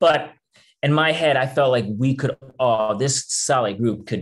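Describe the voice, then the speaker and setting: A man speaks at a fairly slow pace with a New York accent. His pitch varies in an ordinary way against a quiet background. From Brooklyn, New York. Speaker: author and thru-hiker. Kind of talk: live storytelling talk. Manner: energetic, humorous.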